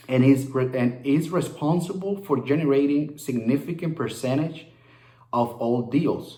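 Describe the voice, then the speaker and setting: Speaking at a fairly slow pace, a man with a Spanish accent sounds somewhat breathy. His pitch varies in an ordinary way, and room echo is audible. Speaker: real estate wholesaler. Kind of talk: casual vlog talk; reading aloud. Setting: at home. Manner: halting, with frequent fillers and repeats.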